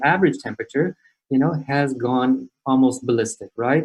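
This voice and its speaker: Somewhat breathy and dark, mellow in tone, a man with an American accent speaks at a fairly high pitch and a moderate pace. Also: dry, close sound with no echo. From US West Coast (California). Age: 60s. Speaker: climate change speaker. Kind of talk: lecture. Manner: halting, many repeated words and fillers.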